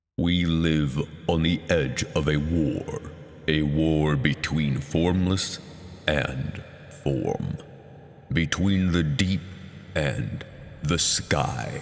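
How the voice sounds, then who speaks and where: A booming, put-on character voice from a man, very deep and low, at a very slow pace. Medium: read story. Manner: solemn, prophetic.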